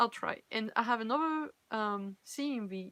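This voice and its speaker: A woman talks with a French accent. The sound is dry and close, with no echo. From France. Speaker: cosplayer and fanfiction reader. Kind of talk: casual live-stream chat. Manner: halting, self-correcting.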